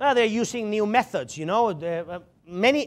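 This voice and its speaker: On a very clean recording with a silent background, a man sounds animated as he speaks at a moderate pace with very wide pitch swings. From Spain, Barcelona. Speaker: security strategist and conference speaker. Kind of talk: lecture.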